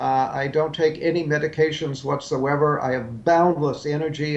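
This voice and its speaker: A man with an American accent, fairly high in pitch, at a moderate pace with hardly any pauses and fairly even intonation, amid noticeable background noise. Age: 70s. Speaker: health author and supplement maker. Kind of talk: live TV interview. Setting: remote live link. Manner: halting with frequent fillers.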